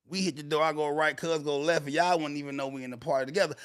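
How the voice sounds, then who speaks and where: Loud and animated, a man speaks at a very fast pace. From US South, born in DC. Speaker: livestream host. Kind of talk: casual livestream chat.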